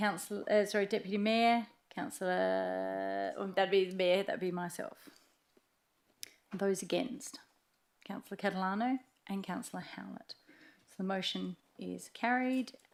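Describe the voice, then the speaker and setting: A woman with an Australian accent, at a moderate pace, with long, frequent pauses. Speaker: mayor chairing meeting. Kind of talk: meeting chairing.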